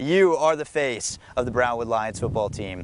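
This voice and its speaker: Lively intonation and a moderate pace mark a man talking in an ordinary speaking voice. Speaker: sports reporter. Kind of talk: interview questions.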